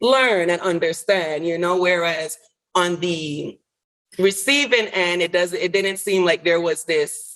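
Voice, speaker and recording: Speaking very slowly in a Caribbean accent, a woman uses a fairly low pitch. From US Virgin Islands (St. Croix). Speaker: licensed clinical social worker. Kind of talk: interview answer.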